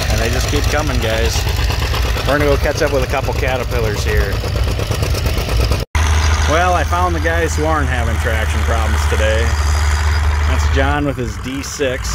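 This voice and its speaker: Amid loud background noise, the speech moves at a moderate pace with long, frequent pauses and a dry sound with no echo. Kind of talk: casual commentary. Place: open country. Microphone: phone near.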